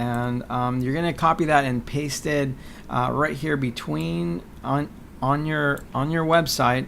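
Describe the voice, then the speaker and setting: A man talks with ordinary pitch variation. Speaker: digital marketing tutorial presenter. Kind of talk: tutorial. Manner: hesitant, many fillers.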